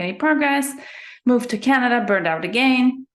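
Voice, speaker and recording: Lively intonation at a moderate pace. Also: woman. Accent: slight German. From Germany. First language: German. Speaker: sleep coach. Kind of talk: interview.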